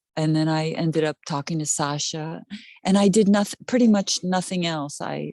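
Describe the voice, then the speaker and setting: Over a quiet background, a woman with a plain, everyday voice talks at a moderate pace, her fairly low pitch showing ordinary variation. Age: 60s. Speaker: card reading client. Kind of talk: casual chat. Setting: video call.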